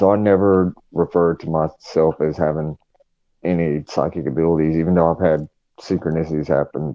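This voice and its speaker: A man speaks with a very deep, low pitch and a strong Southern US accent. His intonation stays monotone and flat. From North Carolina. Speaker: paranormal investigator. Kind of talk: casual chat. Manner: hesitant, many fillers.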